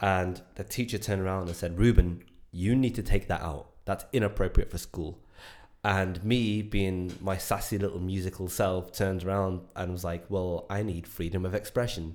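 This man has a very deep, low pitch and fairly even intonation. His pace is moderate. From Ireland. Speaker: filmmaker and musician. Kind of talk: casual chat.

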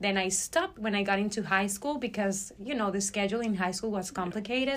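A woman with a Spanish accent at medium pitch, ordinary pitch variation, a very fast pace and hardly any pauses, on a very clean recording with a silent background. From Venezuela, Barquisimeto. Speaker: ophthalmology research fellow. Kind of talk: interview.

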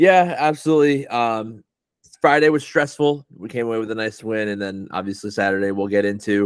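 On a very clean recording with a silent background, a man with a plain, everyday voice talks at a fairly quick pace in a medium pitch. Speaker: podcast host. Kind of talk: casual podcast recap and rant.

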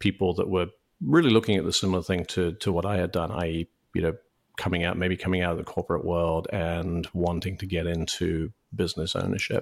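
A man with a British accent speaks in a very deep, low voice with a monotone, flat delivery, recorded very cleanly against a silent background. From UK. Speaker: franchise consultant. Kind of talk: interview. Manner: halting, many fillers and repeated words.

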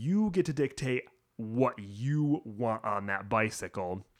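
A man with a normal speaking voice talks at a fairly slow pace, his pitch varying in an ordinary way. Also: very clean recording, silent background. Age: 30s. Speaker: bike shop employee, podcast host. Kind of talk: casual chat.

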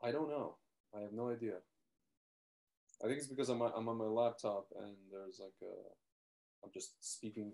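Soft-spoken and dark, mellow in tone, a man at medium pitch talks at a moderate pace with fairly even intonation, big swings in loudness, and long, frequent pauses. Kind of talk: casual chat. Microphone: laptop mic, hard to hear.

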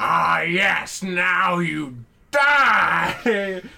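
Putting on a character voice, a man speaks at a high pitch with very wide pitch swings. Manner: menacing, theatrical.

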